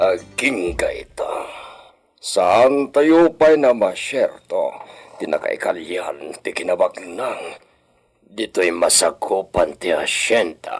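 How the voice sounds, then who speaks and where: Using a put-on character voice, a man delivers his lines at a very slow pace. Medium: audio drama. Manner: commanding, scheming.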